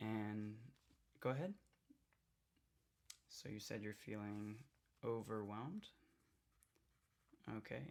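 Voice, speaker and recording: Whispering and soft-spoken, a man speaks at a very slow pace with long, frequent pauses. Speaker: ASMR artist. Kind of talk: ASMR roleplay reiki session. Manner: soft-spoken, whispering, calming.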